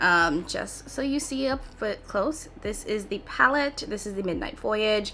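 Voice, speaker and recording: A woman's fairly high, bright, sharp voice with lively intonation at a fairly slow pace. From Trinidad and Tobago. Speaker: beauty vlogger. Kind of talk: chatty makeup tutorial. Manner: casual.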